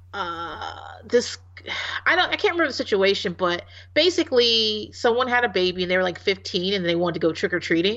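A woman with an American accent talks at a moderate pace in an animated tone, her pitch medium. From Virginia, Hampton Roads. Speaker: podcast host. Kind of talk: casual chat.

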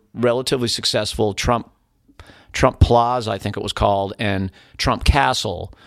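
A normal speaking voice from a man with an American accent, medium pitch and moderate pace, on a very clean recording with a silent background. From US Northeast, Keene, New Hampshire. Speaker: musician. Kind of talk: casual chat. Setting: studio.

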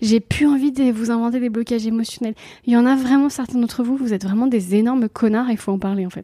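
At a very fast pace, a woman with a fairly high pitch and a dark, mellow tone speaks with fairly even intonation. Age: 40s. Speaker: comedian and mother. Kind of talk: interview conversation.

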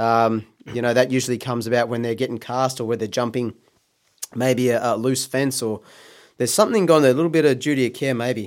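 Very fast speech in an Australian accent, fairly even in intonation, on a very clean recording with a silent background. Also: man, medium pitch for a man. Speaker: horse racing podcast co-host. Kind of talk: casual chat.

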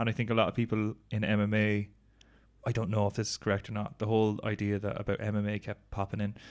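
A man speaks at a very fast pace in an Irish accent. His pitch sits fairly low, and his intonation stays flat and monotone. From Ireland. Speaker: podcast co-host. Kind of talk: casual chat. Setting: recording while travelling in Thailand.

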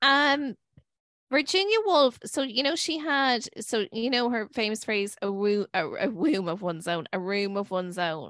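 With an Irish accent, a woman speaks at a fairly high pitch against a quiet background. Her pitch swings very widely. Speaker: podcast co-host. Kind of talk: casual chat. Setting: at home.

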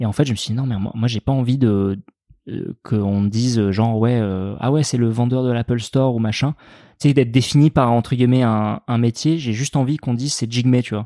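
In a very clean recording with a silent background and a dry, close sound with no echo, a man of medium pitch speaks at a fairly quick pace with a dark, mellow tone and fairly even intonation. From France, Dordogne (Périgord noir, Sarlat). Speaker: farmer and cooking video maker. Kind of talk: casual chat.

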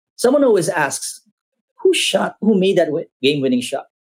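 Speaking with very wide pitch swings, a man's voice rises and falls sharply. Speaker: restaurant group president. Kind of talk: interview.

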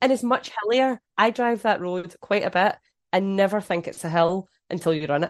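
A woman's medium-pitched voice with a Scottish accent and ordinary pitch variation. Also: moderate pace, dry, close sound with no echo. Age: 30s. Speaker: runner and social media creator. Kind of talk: casual chat.

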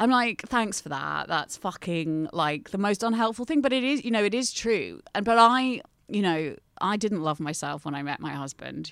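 A woman with an unremarkable speaking voice, medium pitch and moderate pace, on a very clean recording with a silent background. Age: 30s. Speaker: journalist and mental health campaigner. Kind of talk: casual chat.

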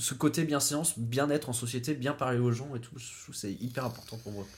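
Somewhat breathy, a man talks at a medium pitch and moderate pace with ordinary pitch variation. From Brittany, Pays Bigouden. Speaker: podcast guest. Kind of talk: casual chat.

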